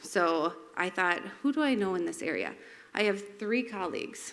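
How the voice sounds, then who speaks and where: Vocal fry and lively intonation in a female voice. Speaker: resident speaking at public comment. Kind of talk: public comment at council meeting. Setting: city council meeting. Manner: fast.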